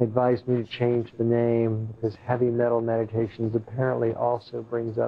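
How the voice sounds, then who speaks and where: The man's voice has a soothing tone at medium pitch. His intonation is monotone and flat. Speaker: sound healing practitioner and meditation guide; meditation guide. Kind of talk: slow guided breathing meditation with grounding-roots visualization; casual closing chat to viewers. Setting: room with live guests, streamed online. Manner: slow, soothing, drawn-out invitational pacing; casual, chuckling and rambling between segments. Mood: relaxed, friendly. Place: home room.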